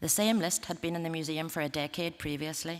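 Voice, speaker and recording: Speaking very fast in a Northern Irish accent, a woman uses a fairly low-pitched voice. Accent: Derry Northern Irish. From Northern Ireland. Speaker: museum representative. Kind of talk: conference talk. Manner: formal.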